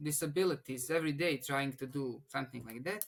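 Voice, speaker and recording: A man speaks with a Bosnian accent and ordinary pitch variation. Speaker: engineering student. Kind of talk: interview. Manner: halting, many restarts.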